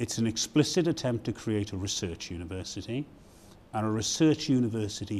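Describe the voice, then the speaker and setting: At a fairly quick pace, a man talks with a fairly low pitch. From Britain. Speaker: university provost. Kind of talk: interview. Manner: hesitant, many fillers.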